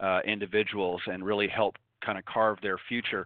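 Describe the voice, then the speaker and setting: A man talks at a fairly quick pace in an unremarkable speaking voice. His pitch is fairly low and his intonation fairly even. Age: 50s. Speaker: golf radio show host. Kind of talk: live radio interview.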